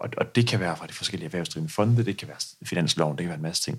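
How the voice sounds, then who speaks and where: A man's voice, fairly low in pitch. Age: 20s. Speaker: pension company founder. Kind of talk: interview.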